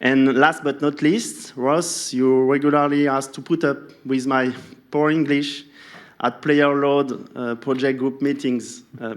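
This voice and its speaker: This man speaks in a French accent at a medium pitch. His pace is fairly slow. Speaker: session moderator at a sports science event. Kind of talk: formal speaker introduction. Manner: halting.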